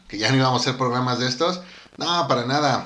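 The speaker has a Mexican accent and ordinary pitch variation. Room echo is audible. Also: man. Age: 30s. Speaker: music podcast co-host. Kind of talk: casual chat.

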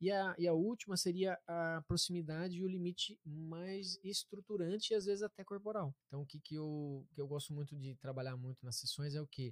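Speaking at a moderate pace with hardly any pauses, a man uses a high voice with ordinary pitch variation. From interior of Paraná, Brazil. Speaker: therapist. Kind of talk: interview, explanatory talk.

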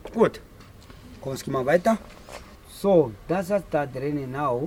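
A man speaks at a fairly slow pace, his pitch fairly high for a man, with ordinary pitch variation. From Namibia, Ovamboland. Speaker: crocodile farm guide. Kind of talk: guided tour. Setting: outdoors at a crocodile farm.

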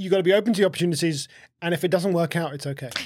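This man has a high pitch with ordinary pitch variation. He talks at a very fast pace. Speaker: podcast host. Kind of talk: casual interview chat.

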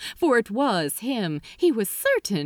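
Someone reads in a natural voice.

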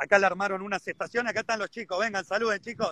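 A man speaks in a raised, projected voice at a high pitch, with fairly even intonation. The sound is dry and close, with no echo. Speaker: golf professional. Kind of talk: casual interview.

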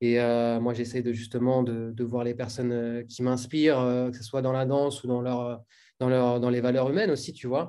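A man at medium pitch, moderate pace and monotone, flat intonation. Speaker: podcast host and bboy. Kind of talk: casual interview.

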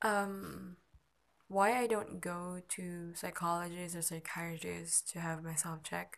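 Against a quiet background, a woman talks at a fairly slow pace in a fairly low pitch. Her intonation is fairly even, though her loudness swings a lot. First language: not English. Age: 20s. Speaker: amateur podcaster. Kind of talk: personal monologue. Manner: halting.

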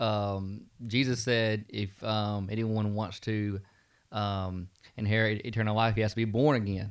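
This man's voice is fairly low in pitch. His intonation stays flat and monotone. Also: fairly slow pace. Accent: Southern US. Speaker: student pastor. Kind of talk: Bible study discussion, podcast.

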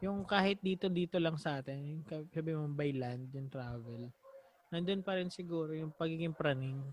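With an ordinary speaking voice, a man talks at a moderate pace, his fairly high pitch showing ordinary pitch variation. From Batangas, Philippines. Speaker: podcast host. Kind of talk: casual chat.

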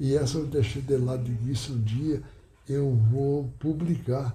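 Somewhat breathy and dark, mellow in tone, a man speaks at medium pitch with fairly even intonation. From Rio Grande do Sul, Brazil. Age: 90s. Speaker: retired tailor and former local politician. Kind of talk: oral history interview. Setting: at his home. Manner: halting.

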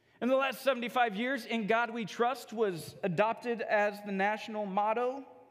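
A man with an extremely high pitch talks at a fairly slow pace with hardly any pauses and ordinary pitch variation, and room echo is audible. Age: 40s. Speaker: pastor. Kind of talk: sermon.

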